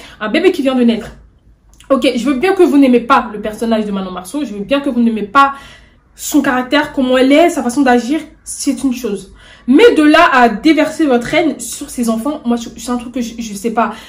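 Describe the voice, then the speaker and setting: Through noticeable background noise, a woman with a high pitch talks at a moderate pace with ordinary pitch variation. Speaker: YouTuber, celebrity news commentator. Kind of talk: casual vlog commentary. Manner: stammering, hesitant; animated, indignant.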